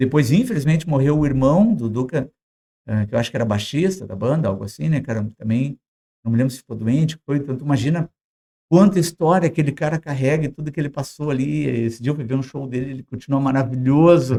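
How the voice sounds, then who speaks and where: With a gaúcho accent, a man talks at a very fast pace in a dark, mellow tone, fairly high pitch and ordinary pitch variation. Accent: Brazilian gaúcho Portuguese. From southern Brazil, Porto Alegre. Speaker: podcast guest, rock enthusiast. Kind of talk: casual podcast conversation. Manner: animated.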